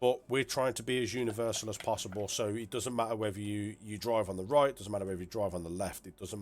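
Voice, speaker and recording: Fairly low in pitch with fairly even intonation, a man talks very fast in a very clean recording with a silent background. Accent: British. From UK. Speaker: game add-on developer and streamer. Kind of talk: livestream showcase. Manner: casual, hesitant with fillers.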